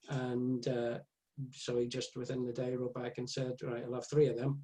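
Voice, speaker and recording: Somewhat breathy, a man with an Irish accent speaks at medium pitch. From Ireland. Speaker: author. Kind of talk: casual chat.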